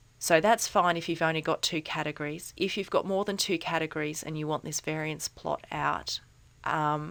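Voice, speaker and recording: With vocal fry and a very deep, low pitch, a woman talks at a fairly quick pace in fairly even intonation. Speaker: statistics tutor. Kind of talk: software tutorial narration. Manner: casual, hesitant.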